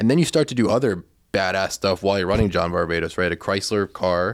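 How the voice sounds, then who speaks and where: An ordinary speaking voice from a man at a fairly low pitch and fairly quick pace, in a very clean recording with a silent background. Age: young. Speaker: podcast host. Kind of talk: interview conversation.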